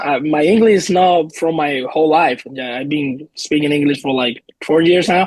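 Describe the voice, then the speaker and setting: Spoken at a moderate pace with a Puerto Rican accent, the voice shows ordinary pitch variation. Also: man, fairly high pitch for a man. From Puerto Rico. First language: Spanish. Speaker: professional baseball player. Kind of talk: interview.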